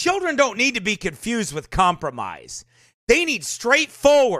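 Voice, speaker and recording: An animated, passionate man speaks in an extremely high, raised and projected voice with a bright, sharp tone. His pitch swings very widely. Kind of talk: live sermon-style commentary. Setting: live online broadcast. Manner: animated, passionate, preachy.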